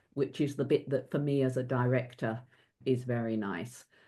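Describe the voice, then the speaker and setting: A woman with a dark, mellow tone. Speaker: company director and governance advisor. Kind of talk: webinar panel discussion.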